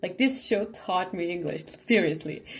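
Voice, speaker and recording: A woman speaks with a non-native accent. Music plays in the background. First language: not English. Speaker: reaction youtuber. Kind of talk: casual reaction commentary. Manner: halting, repeats words. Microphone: no microphone, recorded on camera and phone.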